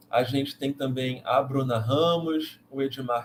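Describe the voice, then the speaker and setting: At a fairly slow pace, a man speaks in an unremarkable speaking voice. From Brazil, Rio de Janeiro. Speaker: math education professor and live host. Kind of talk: online course live presentation. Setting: livestream.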